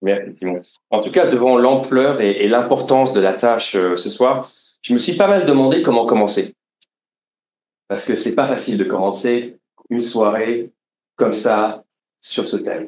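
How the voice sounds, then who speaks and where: Medium pitch from a man at a fairly slow pace, with ordinary pitch variation and long, frequent pauses. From France, Lorraine. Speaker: podcast host and author. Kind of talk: live interview before audience. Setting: stage with audience. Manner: hesitant, many fillers.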